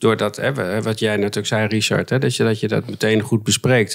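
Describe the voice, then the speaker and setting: Against a quiet background, a man talks at a moderate pace with fairly even intonation. His pitch is fairly low. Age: 50s. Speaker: mediator; podcast guest. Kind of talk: interview. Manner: halting. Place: studio. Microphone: studio mic.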